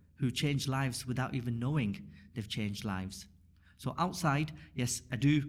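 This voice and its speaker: A man speaks with vocal fry at a medium pitch. His pace is moderate and his intonation lively. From northern England, Rochdale. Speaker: community volunteer and mosque teacher. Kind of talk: casual interview.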